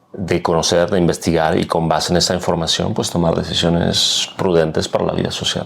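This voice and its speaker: A man's very deep, low voice at a fairly quick pace, monotone and flat, over noticeable background noise. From Mexico, Aguascalientes. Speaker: political scientist and professor. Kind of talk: interview conversation.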